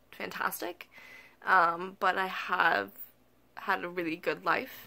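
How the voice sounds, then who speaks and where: At a very slow pace, a woman with an American accent speaks in a bright, sharp tone at fairly low pitch, with vocal fry and ordinary pitch variation. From US Midwest, eastern Iowa. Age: 20s. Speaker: vlogger. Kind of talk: personal vlog. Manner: hesitant, many fillers.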